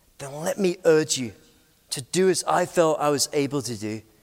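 In a British accent, a man speaks at a moderate pace with a fairly high pitch and lively intonation. The recording is very clean, with a silent background. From Scotland, Aberdeen. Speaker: pastor. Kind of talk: conference talk. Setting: stage with audience.

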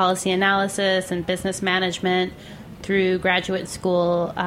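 A woman's medium-pitched, unremarkable speaking voice at a moderate pace. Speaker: station executive. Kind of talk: casual interview chat. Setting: live from restaurant.

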